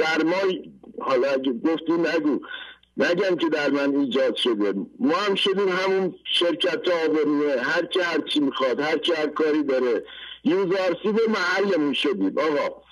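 Over noticeable background noise, a man with a high pitch speaks at a moderate pace, with ordinary pitch variation and very even loudness. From Iran, rural Fasham area near Tehran. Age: 50s. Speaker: caller. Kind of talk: testimony. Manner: animated.

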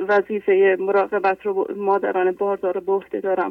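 The woman's fairly even intonation sits at a medium pitch, and she speaks at a moderate pace. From Iran, Isfahan. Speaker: caller, midwife. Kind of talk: testimony. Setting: phone call.

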